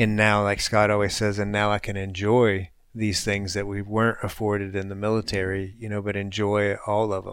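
In a very clean recording with a silent background, a man speaks at a moderate pace with hardly any pauses, a fairly low pitch and monotone, flat intonation. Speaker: military veteran podcast co-host. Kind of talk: casual chat.

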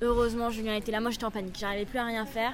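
A woman's voice with audible echo from the room. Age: 20s. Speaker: travel podcaster. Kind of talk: audio vlog. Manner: animated.

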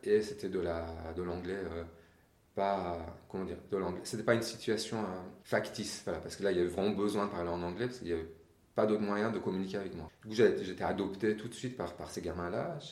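A man with a Persian accent at a fairly quick pace and a fairly low pitch, fairly even intonation, and audible room echo. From Iran. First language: Persian (speaking French). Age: 40s. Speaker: interview guest. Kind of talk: interview. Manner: hesitant, repeats words.

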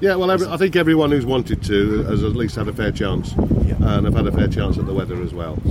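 A man's voice with very wide pitch swings and a fairly quick pace, over noticeable background noise. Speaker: powerboat competitor and event insider. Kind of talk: casual interview.

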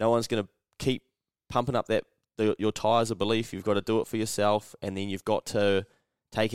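Over a silent background in a very clean recording, a man with a New Zealand accent speaks at a fairly low pitch. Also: dry, close sound with no echo. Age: 30s. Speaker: podcast host. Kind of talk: casual chat. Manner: animated.

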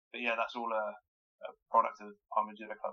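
The speaker is a man. He has a southern English accent. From southern England, Wokingham in Berkshire. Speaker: Olympic judo athlete. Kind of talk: interview. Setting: internet call. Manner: halting, many fillers.

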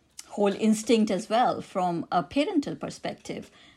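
Speaking at a moderate pace, a woman with an Indian accent uses lively intonation. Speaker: author and academic. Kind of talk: interview. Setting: remote recording.

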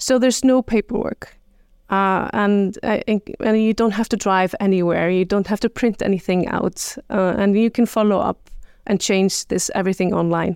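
A woman with an Icelandic accent talks at a moderate pace and medium pitch, with fairly even intonation. The recording is very clean, with a silent background. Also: very even loudness, dry, close sound with no echo. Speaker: government marketing officer. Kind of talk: interview. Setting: in a room in Reykjavik. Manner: halting.

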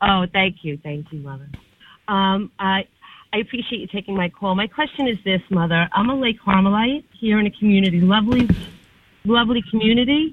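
A woman at a medium pitch and fairly quick pace, with big swings in loudness. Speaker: caller, lay Carmelite. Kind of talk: call-in question. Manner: hesitant, with fillers.

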